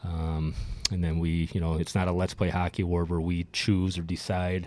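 A man's very deep, low voice in an Upper Midwest accent, dark and mellow, flat and monotone at a fairly quick pace, on a very clean recording with a silent background. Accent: Upper Midwest American. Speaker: former hockey player. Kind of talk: casual chat.

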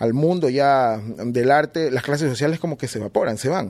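With a plain, everyday voice, this man talks at a moderate pace and uses ordinary pitch variation. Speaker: hip hop artist. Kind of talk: casual interview.

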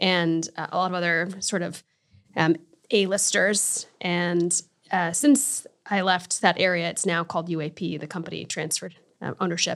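In a normal speaking voice, a woman with a fairly low pitch speaks at a moderate pace with an American accent. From Connecticut. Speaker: art studio manager. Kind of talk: casual interview. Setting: studio.

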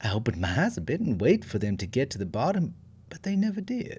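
A man talks at a fairly quick pace with very wide pitch swings, a dark, mellow tone and a somewhat breathy sound. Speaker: storytelling podcaster. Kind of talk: bedtime ghost story reading, hushed and suspenseful. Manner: warm, playful, chatty in intro and outro.

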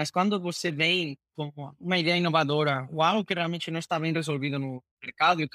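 Speaking fairly quickly with a Spanish accent, a man with a fairly high-pitched voice is heard on a very clean recording against a silent background. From Spain. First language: Spanish (speaking Portuguese). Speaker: fintech executive. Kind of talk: interview. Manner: halting, repeats words.

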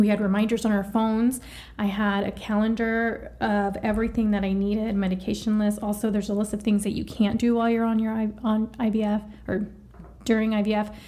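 A woman talks at a fairly quick pace in a fairly high, somewhat breathy voice. Her tone is dark and mellow, with monotone, flat intonation. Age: 30s. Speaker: IVF patient sharing experience. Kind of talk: casual chat.

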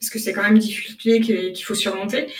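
Speaking at a fairly quick pace, a woman uses a fairly high pitch and monotone, flat intonation. Room echo is audible. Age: 30s. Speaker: software developer intern, career changer. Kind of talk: casual interview. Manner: hesitant, many fillers and repetitions.

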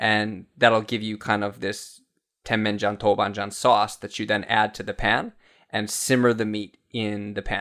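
On a very clean recording with a silent background, a speaker with an American accent talks at a fairly slow pace in a monotone with flat intonation. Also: man, fairly low pitch for a man. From US South, Florida. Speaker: TV cooking presenter. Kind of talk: casual chat; tutorial.

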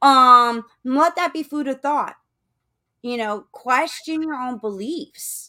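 Raising and projecting her voice, a woman with an American accent speaks very slowly at a high pitch with a bright, sharp tone, ordinary pitch variation and big swings in loudness, in a very clean recording with a silent background. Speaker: podcast host. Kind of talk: casual interview chat.

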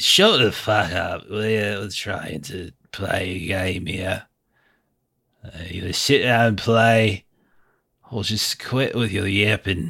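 A man puts on a raspy character voice with fairly low pitch, speaking at a very slow pace with long, frequent pauses. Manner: belligerent, irritated.

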